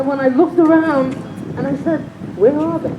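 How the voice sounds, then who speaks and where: A woman's voice with an American accent over noticeable background noise. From New York City. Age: 80s+. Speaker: community member at public forum. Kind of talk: public speech at community forum. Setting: outdoors at public forum. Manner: impassioned.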